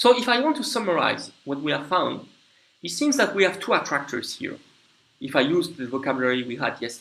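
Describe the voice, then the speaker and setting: A man with a French accent talks at a fairly quick pace in a high pitch, his voice swinging very widely. Audible room echo surrounds him. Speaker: lecturer. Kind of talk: lecture. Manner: halting, with frequent fillers and restarts.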